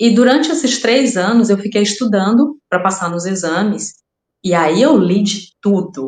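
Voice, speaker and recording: Lively intonation, a somewhat breathy quality, a Brazilian accent and a fairly slow pace. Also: woman, medium pitch for a woman. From Brazil, raised in Rondônia. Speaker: crime fiction writer. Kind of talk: podcast interview. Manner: halting, repeats words.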